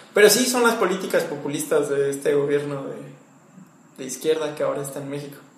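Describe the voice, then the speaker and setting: Over noticeable background noise and audible room echo, a man with a fairly high pitch talks at a very fast pace, with ordinary pitch variation and big swings in loudness. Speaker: historian and barista. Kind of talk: casual chat. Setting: coffee shop.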